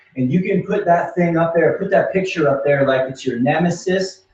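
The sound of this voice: In a room with audible echo, a man talks at a moderate pace, his pitch fairly high with ordinary variation and his tone slightly mellow.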